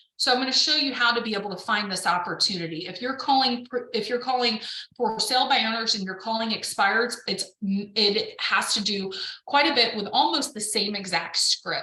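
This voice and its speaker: Noticeable background noise sits behind a woman whose fairly high voice moves at a moderate pace with ordinary pitch variation. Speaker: real estate coach. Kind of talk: webinar presentation.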